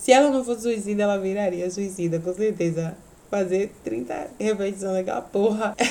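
A woman's medium-pitched voice moves at a moderate pace, with ordinary pitch variation. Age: 30s. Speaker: podcast host and teacher. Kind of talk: casual chat. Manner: not loud, no shouting.

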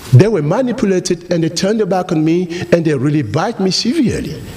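A man with a French accent talks at a fairly quick pace in a high, animated voice with lively intonation, over noticeable background noise. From Cameroon. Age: 40s. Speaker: guest preacher. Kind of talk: sermon. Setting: church with congregation.

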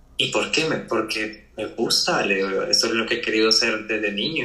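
A man at a moderate pace, with audible room echo. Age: young. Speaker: architect. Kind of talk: casual interview chat.

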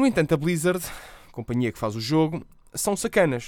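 On a very clean recording with a silent background, a man speaks with lively intonation in a European Portuguese accent. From Portugal. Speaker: podcast host and streamer. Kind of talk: solo podcast monologue. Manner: casual.

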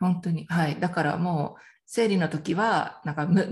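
A woman's somewhat breathy voice moves at a moderate pace, her intonation fairly even. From Miyazaki, Japan. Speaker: parenting mentor, coaching client. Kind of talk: interview testimony.

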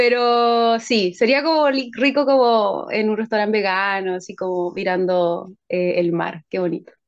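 Here is a woman with a normal speaking voice and a fairly high pitch. She talks at a fairly slow pace with hardly any pauses and ordinary pitch variation. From Chile, San Bernardo (southern Santiago). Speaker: singer-songwriter. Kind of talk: casual interview chat.

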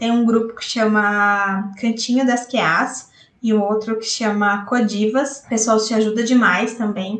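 Her voice is fairly high-pitched, and the woman speaks in a flat monotone. She talks at a fairly slow pace. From interior of São Paulo state, Brazil. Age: 30s. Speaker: software tester. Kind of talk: recorded personal story.

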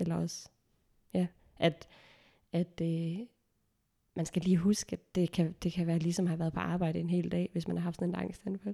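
A woman speaks at a moderate pace in a dark, mellow tone, somewhat breathy, with a dry, close sound and no echo. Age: 20s. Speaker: theology graduate sharing anxiety experience. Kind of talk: personal testimony in casual interview. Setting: around a dining table, recorded at home.

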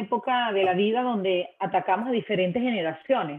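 A woman speaks at a moderate pace in a normal speaking voice. Her pitch is fairly high, with ordinary variation. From Venezuela. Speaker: marketing manager. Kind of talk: interview.

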